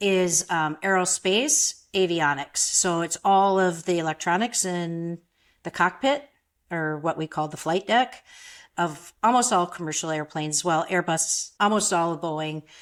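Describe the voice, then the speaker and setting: In a very clean recording with a silent background, a woman with an Upper Midwest accent speaks at a fairly slow pace in a fairly low voice with ordinary pitch variation. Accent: Upper Midwest American. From Minnesota. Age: 60s. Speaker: photographer. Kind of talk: interview.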